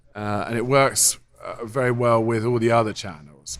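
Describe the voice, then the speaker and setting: A man speaks with an English accent in a medium-pitched voice. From England. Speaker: software company co-founder. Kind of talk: interview. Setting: conference.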